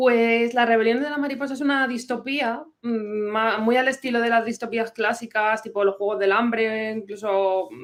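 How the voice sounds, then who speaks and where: A plain, everyday voice moves at a moderate pace with hardly any pauses. Its pitch varies in an ordinary way. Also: woman, fairly high pitch for a woman. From Madrid, Spain. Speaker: novelist and historian. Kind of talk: interview.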